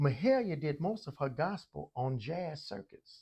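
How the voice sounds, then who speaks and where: A man with an American accent talks in a somewhat breathy voice with lively intonation. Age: 60s. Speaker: music educator. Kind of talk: interview. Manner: halting.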